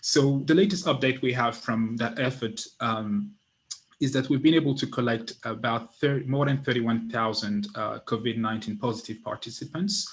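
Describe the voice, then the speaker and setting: A man speaks at a moderate pace with a non-native accent. His voice is somewhat breathy, with ordinary pitch variation. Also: medium pitch for a man. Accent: noticeable non-native. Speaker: genetics researcher. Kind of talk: scientific presentation. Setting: virtual event. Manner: hesitant, many fillers.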